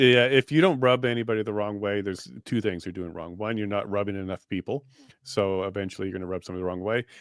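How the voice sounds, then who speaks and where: His pitch sits fairly low. The man talks at a very fast pace. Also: ordinary pitch variation. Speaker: political commentator. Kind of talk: casual chat.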